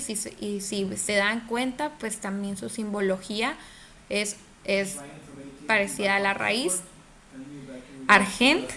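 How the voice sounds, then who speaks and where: Very slow speech with long, frequent pauses and ordinary pitch variation, amid noticeable background noise and audible room echo. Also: woman. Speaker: chemistry teacher. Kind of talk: online class lecture. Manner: hesitant, many fillers; speaking more quietly.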